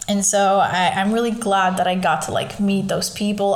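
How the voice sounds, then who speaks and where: A woman speaks at a medium pitch and moderate pace with fairly even intonation, over noticeable background noise and audible room echo. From Portugal, Lisbon. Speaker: podcast host. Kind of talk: casual monologue.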